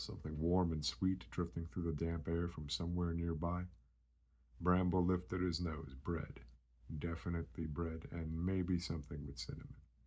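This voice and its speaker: Speaking at a moderate pace, a man with a very deep, low voice sounds somewhat breathy and keeps his intonation fairly even. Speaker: ASMR creator. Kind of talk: bedtime story reading.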